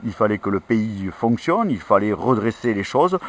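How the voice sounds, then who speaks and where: A man speaks with lively intonation at a moderate pace. His pitch is fairly low. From France, Ariège. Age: 50s. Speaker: politician. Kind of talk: interview. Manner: hesitant, many filler sounds.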